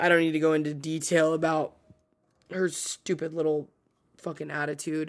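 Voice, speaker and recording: This woman's voice comes through on a very clean recording against a silent background. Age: 30s. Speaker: podcast host. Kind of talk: casual solo monologue.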